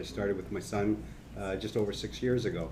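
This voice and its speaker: A dark, mellow tone at a moderate pace with ordinary pitch variation and audible room echo. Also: man. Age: 60s. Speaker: brewery co-founder. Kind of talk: panel discussion.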